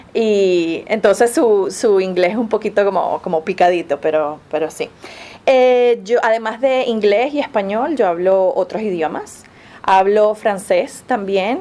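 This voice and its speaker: A woman's medium-pitched voice with a Venezuelan accent. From Venezuela, Caracas. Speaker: Spanish professor. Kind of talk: interview. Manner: halting, with frequent fillers and repetitions.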